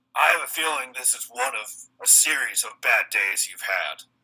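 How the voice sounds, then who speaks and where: Put-on character voice from a man, raspy and at a moderate pace. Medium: actual play. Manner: low, steady, threatening.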